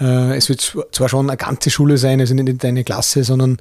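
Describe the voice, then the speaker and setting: A man with a Bavarian accent talks at a fairly quick pace, his medium-pitched voice dark and mellow. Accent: Bavarian-like dialect. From Upper Austria, Mühlviertel. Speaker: author and motivational speaker, former club owner. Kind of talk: interview.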